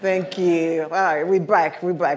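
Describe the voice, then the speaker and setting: A woman with a French accent, animated in tone, at a moderate pace, with audible room echo. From Paris, France. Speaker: keynote speaker. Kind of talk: keynote talk. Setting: stage with audience.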